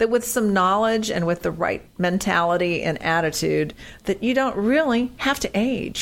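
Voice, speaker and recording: This woman has an unremarkable speaking voice, pitched fairly high. Her intonation is lively. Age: 60s. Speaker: fitness podcast co-host and personal trainer. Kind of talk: casual chat.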